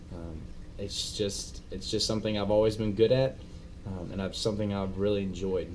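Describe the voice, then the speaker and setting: At a moderate pace, a man with a Texan accent speaks at a fairly low pitch with ordinary pitch variation, and audible room echo surrounds him. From Texas (Abilene). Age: 20s. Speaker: vlogger, hunting guide. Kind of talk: casual self-introduction vlog. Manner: halting, many fillers.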